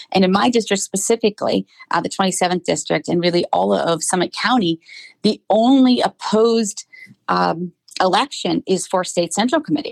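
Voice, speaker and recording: A woman with a Midwestern American accent and vocal fry, at a moderate pace, in a dry, close sound with no echo. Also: medium pitch for a woman, lively intonation, very even loudness. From Akron, Ohio. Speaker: political candidate, business development director. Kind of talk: interview.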